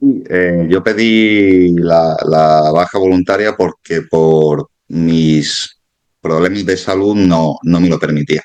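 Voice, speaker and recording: In an Andalusian accent, a man talks at a very slow pace in a very deep, low voice with fairly even intonation. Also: very even loudness. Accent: Andalusian (Málaga). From Málaga, Andalusia, Spain. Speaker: former security guard, exam candidate. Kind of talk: interview. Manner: halting, many repetitions.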